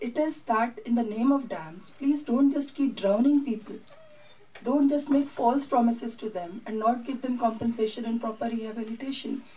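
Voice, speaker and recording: Speaking with an Indian accent, a woman uses a high pitch and a dark, mellow tone at a moderate pace with ordinary pitch variation. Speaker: documentary filmmaker; documentary filmmaker on panel. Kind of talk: press conference. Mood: earnest, passionate advocacy. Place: hall.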